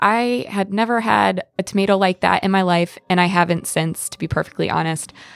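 Talking at a fairly quick pace with hardly any pauses, a woman with an American accent uses a normal speaking voice at a medium pitch with fairly even intonation. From Pennsylvania, small town. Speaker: exchange program participant. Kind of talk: storytelling anecdote.

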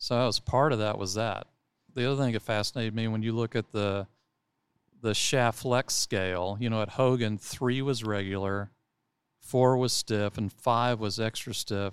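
A man speaks with an American accent at a moderate pace, medium pitch and fairly even intonation, in an unremarkable speaking voice. The recording is very clean with a silent background and a dry, close sound with no echo. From Texas. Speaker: golf club director. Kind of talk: casual interview. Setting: in person studio.

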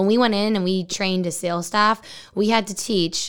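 On a very clean recording with a silent background, a woman speaks in an animated tone at a medium pitch with ordinary pitch variation. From Texas. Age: 20s. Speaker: marketing agency co-owner. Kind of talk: interview. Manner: fast talker.

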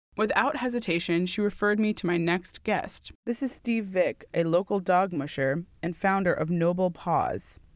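At a moderate pace and medium pitch, a woman talks in a plain, everyday voice with ordinary pitch variation. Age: 20s. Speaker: podcast host, student. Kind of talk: narration and vlog-style diary.

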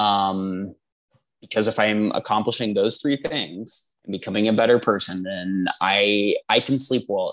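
A man speaks with a Midwestern American accent. The background is quiet. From Indiana. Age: 20s. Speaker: dietetics graduate student. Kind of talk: casual conversation. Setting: Skype call.

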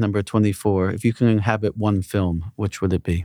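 In an unremarkable speaking voice, a man speaks at a fairly low pitch with fairly even intonation, the sound dry and close with no echo. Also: very clean recording, silent background. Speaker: podcast interviewer. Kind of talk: interview Q&A, casual conversation.

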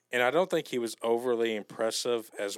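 This man has an unremarkable speaking voice, fairly low in pitch, with an American accent, fairly even intonation and a moderate pace, in a dry, close sound with no echo on a very clean recording with a silent background. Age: 20s. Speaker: sports fan guest. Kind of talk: casual chat.

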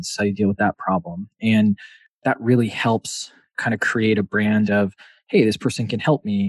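In a dry, close sound with no echo and a quiet background, a man with a fairly low pitch talks at a fairly quick pace in an ordinary speaking voice. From Wisconsin, US Midwest. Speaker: software company CEO. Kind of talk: casual interview.

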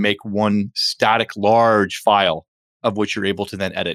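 A man's fairly low voice, dry and close with no echo, on a very clean recording with a silent background. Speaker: podcast host and podcast studio co-founder. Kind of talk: casual chat. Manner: fast when excited; animated.

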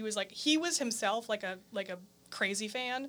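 A woman talks fairly quickly in a normal speaking voice. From Green Bay, Wisconsin. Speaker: singer and pianist. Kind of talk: casual interview. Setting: studio.

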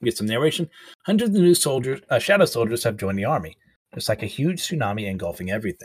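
The speaker goes at a very fast pace, with very wide pitch swings. The voice is somewhat breathy. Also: man, medium pitch for a man. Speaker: podcast host reviewing manga and anime. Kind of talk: solo casual podcast monologue. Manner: halting, many fillers.

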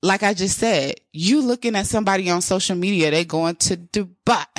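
In a very clean recording with a silent background, a woman with a medium pitch sounds animated, using ordinary pitch variation. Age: 30s. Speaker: podcast host. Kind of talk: motivational monologue.

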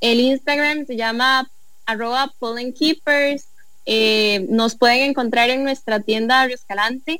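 A woman's high-pitched voice with music in the background. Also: fairly even intonation, fairly slow pace. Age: 20s. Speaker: entrepreneur, honey producer. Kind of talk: casual chat.

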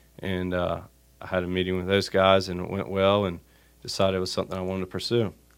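In a North Carolina accent, a man with a very deep, low pitch speaks at a very fast pace in a monotone, flat intonation, on a very clean recording with a silent background. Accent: Southern US (North Carolina). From US South, Wilmington, North Carolina. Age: 20s. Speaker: commercial real estate broker. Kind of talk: interview.

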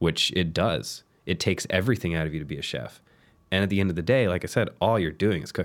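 Very clean, silent-background recording of a man with a very deep, low pitch, vocal fry, ordinary pitch variation and a very fast pace. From southern Louisiana. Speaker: pastry chef. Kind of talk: casual chat.

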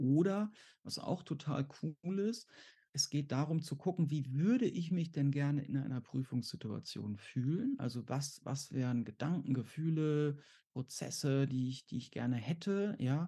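A man speaks at a fairly slow pace in a somewhat breathy, dark, mellow tone. The background is quiet. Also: fairly high pitch for a man, ordinary pitch variation. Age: 40s. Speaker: exam anxiety coach and therapist. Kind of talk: interview. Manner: halting.

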